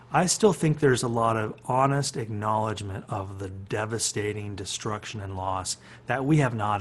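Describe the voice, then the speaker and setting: Here a man uses a normal speaking voice at a fairly low pitch. He keeps a moderate pace with ordinary pitch variation. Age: 60s. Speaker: philosophy professor and musician. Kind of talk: reflective talk on a webinar. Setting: video call.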